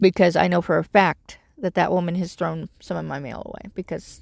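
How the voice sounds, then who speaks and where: With a dry, close sound and no echo, a woman talks at a moderate pace with hardly any pauses. Her voice has vocal fry and big swings in loudness. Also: very clean recording, silent background. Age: 50s. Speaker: podcast host living in her vehicle. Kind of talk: personal monologue podcast. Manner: hesitant, many fillers.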